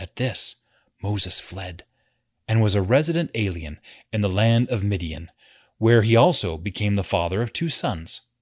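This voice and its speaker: In a dry, close sound with no echo, a man with a fairly low, somewhat breathy voice speaks in a solemn tone at a moderate pace, his lively intonation broken by long, frequent pauses. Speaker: read-along narrator. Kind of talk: scripture reading aloud; scripture read-along. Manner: measured, even narrative reading pace; formal, solemn tone.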